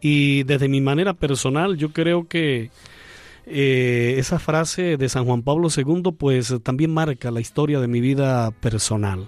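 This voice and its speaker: A man at a fairly high pitch and very slow pace, with ordinary pitch variation. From Venezuela, Andean region (Mérida). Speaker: priest. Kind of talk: radio interview. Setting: studio.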